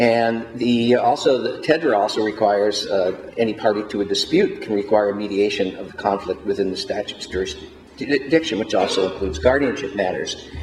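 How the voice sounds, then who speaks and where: A man's medium-pitched voice at a moderate pace, with ordinary pitch variation, hardly any pauses, and noticeable background noise. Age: 60s. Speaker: mediator and elder law panelist. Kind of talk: conference panel presentation. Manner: halting, many fillers.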